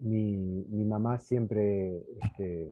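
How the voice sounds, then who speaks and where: With fairly even intonation and a fairly low pitch, the man has an unremarkable speaking voice. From Argentina, Buenos Aires. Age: 60s. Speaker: neurosurgeon and neuroeducator. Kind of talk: interview.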